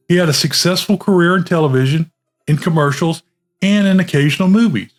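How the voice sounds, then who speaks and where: Music plays in the background as a man with a high voice speaks at a fairly quick pace. His loudness stays very even, with ordinary pitch variation. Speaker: film reviewer. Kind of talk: movie review talk to camera.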